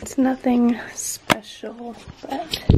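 A woman talks in a high voice, with noticeable noise behind her. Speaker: vlogger. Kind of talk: casual vlog chat. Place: home room. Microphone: phone near.

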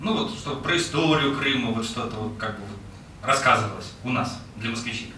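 A man talks in a room with audible echo. Light noise sits in the background. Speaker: executive director of a foundation. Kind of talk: presentation. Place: hall.

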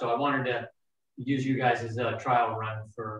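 In a room with audible echo, a man speaks in a flat, monotone way. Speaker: yoga teacher. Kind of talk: class instruction. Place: home room. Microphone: webcam.

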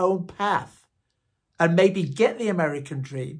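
A man's high voice at a fairly slow pace, with ordinary pitch variation and a quiet background. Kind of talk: direct appeal to camera. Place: home room. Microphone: phone near.

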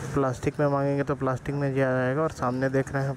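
Faint background noise sits behind a man speaking at a medium pitch.

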